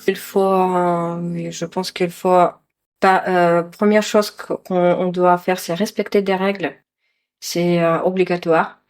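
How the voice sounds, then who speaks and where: A woman talks at a very slow pace with flat, monotone intonation. The recording is very clean, with a silent background. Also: medium pitch for a woman. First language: not French, learner of French (speaking French). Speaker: vocational trainee. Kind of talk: interview. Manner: halting, many hesitations.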